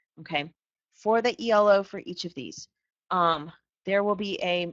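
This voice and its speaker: Over a quiet background, a woman uses an unremarkable speaking voice with ordinary pitch variation, the sound dry and close with no echo. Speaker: physics teacher. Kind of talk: lecture.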